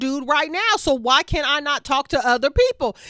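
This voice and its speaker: An animated voice, raised and projected, moves at a moderate pace with a dry, close sound and no echo. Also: woman. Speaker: TV recap YouTuber. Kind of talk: casual recap monologue. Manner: loud.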